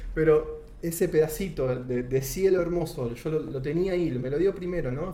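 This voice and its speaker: Against noticeable background noise, the voice moves at a moderate pace with ordinary pitch variation. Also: man. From Argentina. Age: 30s. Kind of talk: testimony.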